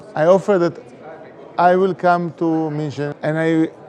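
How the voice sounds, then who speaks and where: Over noticeable background noise, a man talks at a moderate pace in a high-pitched voice. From Israel. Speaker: democratic education advocate. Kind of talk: recorded video appeal. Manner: halting.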